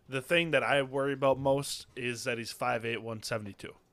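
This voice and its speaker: The speaker is a man with a plain, everyday voice. He keeps a moderate pace and fairly even intonation. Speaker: podcast co-host, fantasy football analyst. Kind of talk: casual chat, sports analysis discussion.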